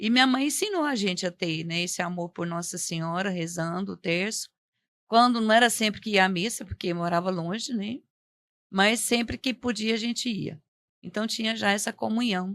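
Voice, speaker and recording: This woman has a normal speaking voice, medium in pitch, with ordinary pitch variation and a moderate pace. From Goiás, Brazil (born in Minas Gerais). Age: 60s. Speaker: religious witness guest. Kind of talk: testimony.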